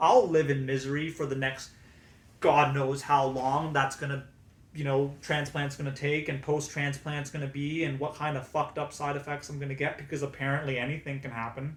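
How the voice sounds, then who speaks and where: A man's fairly high, somewhat breathy voice, monotone and flat, at a fairly quick pace. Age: 20s. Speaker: cancer patient vlogger. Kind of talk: reading aloud.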